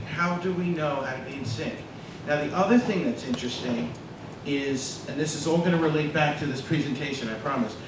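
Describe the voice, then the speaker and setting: A man with an American accent talks at a fairly quick pace and fairly high pitch, with ordinary pitch variation. Audible room echo and noticeable background noise are present. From US Northeast, New Jersey. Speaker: data scientist giving a lecture. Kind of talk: lecture. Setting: stage with audience.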